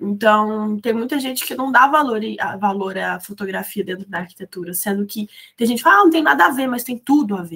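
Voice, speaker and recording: A woman's fairly high voice with lively intonation, a bright, sharp tone, big swings in loudness and a fairly quick pace. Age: 20s. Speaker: photographer and architecture student. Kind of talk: casual chat.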